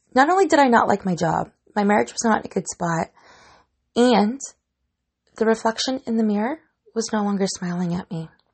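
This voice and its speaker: Animated and somewhat breathy, a woman speaks at a fairly quick pace with a fairly high pitch. Her intonation is lively, broken by long, frequent pauses. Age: 40s. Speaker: fitness podcast host. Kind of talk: solo podcast monologue.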